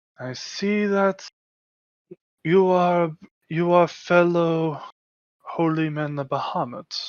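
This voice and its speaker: Using a put-on character voice, a woman speaks at a very slow pace, broken by long, frequent pauses. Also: fairly low pitch for a woman. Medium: actual play.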